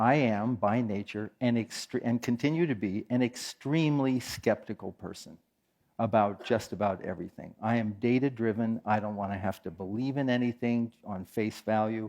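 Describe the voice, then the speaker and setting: A man speaks at a moderate pace with an American accent and a medium pitch. His pitch varies in an ordinary way, and the background is quiet. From US West Coast, San Francisco Bay Area. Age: 60s. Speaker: meditation teacher. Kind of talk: talk to an audience.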